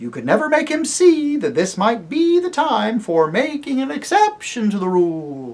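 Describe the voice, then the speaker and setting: Putting on a character voice, a man talks at a moderate pace in an extremely high pitch with very wide pitch swings. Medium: read story.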